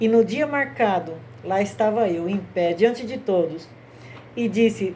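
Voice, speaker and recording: A woman with a medium-pitched, somewhat breathy voice speaks at a fairly slow pace with lively intonation. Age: 60s. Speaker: grandmother telling Bible stories. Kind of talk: religious storytelling talk.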